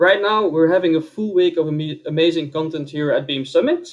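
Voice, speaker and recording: Moving at a fairly quick pace, a man speaks with a Dutch accent and fairly even intonation. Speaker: conference speaker. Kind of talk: conference talk. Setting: online event.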